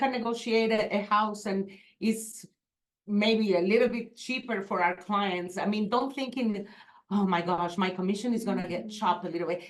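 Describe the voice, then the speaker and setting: Speaking with a Spanish accent, a woman keeps a moderate pace and fairly even intonation. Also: medium pitch for a woman. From Venezuela. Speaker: real estate agent. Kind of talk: panel discussion.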